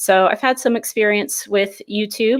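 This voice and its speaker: A woman speaks at a moderate pace with an American accent, her pitch in the middle range. The recording is very clean, with a silent background. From US Midwest, Indianapolis, Indiana. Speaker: high school psychology teacher, fragrance youtuber. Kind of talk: casual interview chat.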